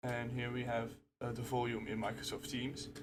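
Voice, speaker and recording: At a moderate pace, a man with medium pitch speaks in a somewhat breathy voice, with audible room echo around him. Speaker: channel owner demonstrating software bug. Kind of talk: tutorial. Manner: rant, gets emotional.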